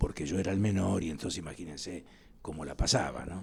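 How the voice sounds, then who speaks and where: A man speaks with vocal fry in a dark, mellow tone. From Argentina, Lanús (Buenos Aires area). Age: 80s+. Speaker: historian. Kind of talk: interview. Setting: studio.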